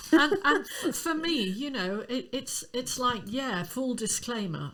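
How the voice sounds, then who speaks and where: A woman speaks at a fairly slow pace in a high voice with very wide pitch swings, against noticeable background noise. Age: 60s. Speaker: singing teacher. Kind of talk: podcast discussion.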